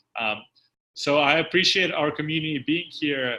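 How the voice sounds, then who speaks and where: A man talks at a moderate pace. His voice is fairly high, with a bright, sharp tone. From Ukraine. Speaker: company founder and host. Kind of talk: casual online Q&A hosting.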